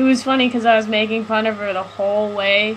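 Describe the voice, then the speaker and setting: A soft-spoken, mumbling woman at a fairly high pitch, with monotone, flat intonation and a moderate pace, over noticeable background noise. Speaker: live stream host. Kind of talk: casual chat. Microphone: mic turned all the way up, still quiet.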